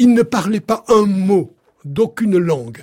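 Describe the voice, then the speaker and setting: A man speaks with ordinary pitch variation. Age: 80s+. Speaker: chef and cooking author. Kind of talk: casual chat.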